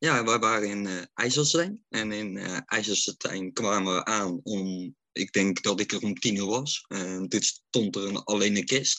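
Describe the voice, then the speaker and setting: A man talks at a fairly slow pace with hardly any pauses, in a bright, sharp tone at fairly low pitch. His pitch variation is ordinary, and the sound is dry and close, with no echo. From North Brabant, Netherlands (Oosterhout). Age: 40s. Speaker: fan account runner, care worker. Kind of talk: casual chat. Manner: halting.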